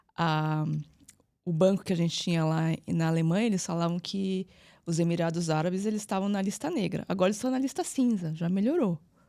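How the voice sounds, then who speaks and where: In a very clean recording with a silent background, a woman with a fairly low pitch and a dark, mellow tone talks at a fairly quick pace with ordinary pitch variation. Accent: São Paulo. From Brazil, São Paulo. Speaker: physiotherapist and entrepreneur. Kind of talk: interview. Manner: halting.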